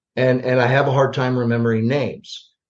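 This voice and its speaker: A man speaks in an American accent at a moderate pace. His voice is somewhat breathy and medium in pitch. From US Midwest. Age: 60s. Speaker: retired army general. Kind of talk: interview conversation. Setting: podcast. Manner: animated, with many fillers.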